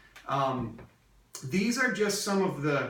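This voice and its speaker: Speech comes at a fairly slow pace over noticeable background noise. Audible echo from the room hangs around the words. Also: man. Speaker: real estate investor and business coach. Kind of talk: training lecture. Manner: hesitant with frequent fillers.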